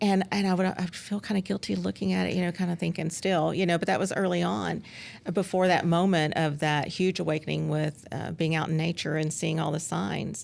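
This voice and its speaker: A woman's fairly low voice with vocal fry, in a Southern US accent. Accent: Southern US drawl. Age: 50s. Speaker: former school principal. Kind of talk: casual interview chat. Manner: hesitant, many fillers.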